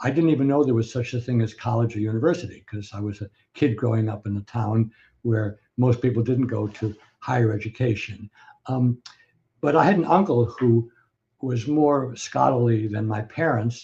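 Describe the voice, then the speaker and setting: A man with an American accent, medium in pitch and somewhat breathy, with a dark, mellow tone, ordinary pitch variation and a moderate pace. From US Northeast, Scranton, Pennsylvania. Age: 80s+. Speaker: professor. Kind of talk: interview. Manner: hesitant, many fillers.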